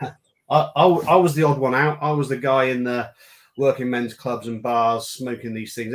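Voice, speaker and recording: A man is speaking. He has a British accent. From UK. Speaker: cigar brand founder. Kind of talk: casual chat.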